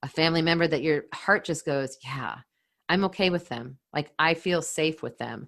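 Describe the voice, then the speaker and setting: A fairly low-pitched woman with a Californian accent, at a moderate pace. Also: very clean recording, silent background. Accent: General American (Californian). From California, Silicon Valley. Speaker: podcast host. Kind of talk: podcast monologue. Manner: earnest, heartfelt.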